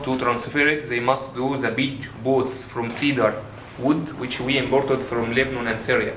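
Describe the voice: Medium pitch from a man at a moderate pace, little pitch movement, audible room echo.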